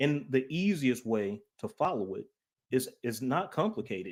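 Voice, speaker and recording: The recording is very clean with a silent background. A man talks at a medium pitch in an unremarkable speaking voice. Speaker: Bible teacher presenting on calendars. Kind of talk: presentation.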